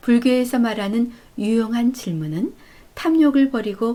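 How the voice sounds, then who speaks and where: Calm and somewhat breathy, a woman speaks with a dark, mellow tone. The recording is very clean, with a silent background. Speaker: narrator. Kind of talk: audiobook reading of life advice. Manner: calm, soft-spoken.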